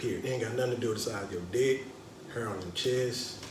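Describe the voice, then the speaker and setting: At a very fast pace, a man speaks through audible room echo and noticeable background noise. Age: 40s. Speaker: podcast host. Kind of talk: casual chat.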